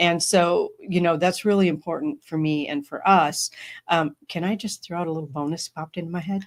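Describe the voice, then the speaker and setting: An ordinary speaking voice from a woman, fairly low in pitch with ordinary pitch variation, at a fairly quick pace, in a very clean recording with a silent background. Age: 50s. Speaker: podcast host. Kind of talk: casual chat.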